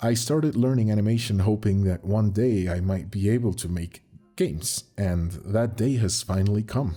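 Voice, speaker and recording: A man speaks in a fairly low pitch, somewhat breathy, with a dark, mellow tone. The recording is very clean with a silent background. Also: ordinary pitch variation, moderate pace. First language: Spanish. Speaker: animator and channel owner. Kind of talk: channel update monologue.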